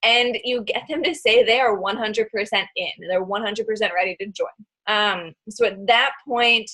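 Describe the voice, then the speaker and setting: A woman talks at a moderate pace in a plain, everyday voice. Her pitch is fairly high with ordinary variation. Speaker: online fitness coach and team leader. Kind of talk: team training call.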